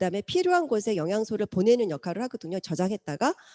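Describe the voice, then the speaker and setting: In a very clean recording with a silent background and a dry, close sound with no echo, a woman speaks at a fairly high pitch with a dark, mellow tone and very wide pitch swings. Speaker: lecturer on nutrition products. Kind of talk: lecture.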